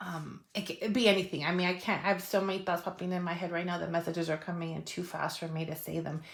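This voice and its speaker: A woman at a very fast pace, monotone and flat, with hardly any pauses over noticeable background noise. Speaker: tarot reader. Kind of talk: tarot reading monologue. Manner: casual, many fillers.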